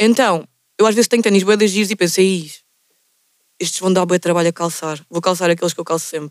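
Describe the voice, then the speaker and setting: A woman with a Lisbon accent, animated and very fast, broken by long, frequent pauses. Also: medium pitch for a woman. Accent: European Portuguese, Lisbon. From Portugal, Lisbon area (Margem Sul). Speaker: podcast host. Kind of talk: casual chat.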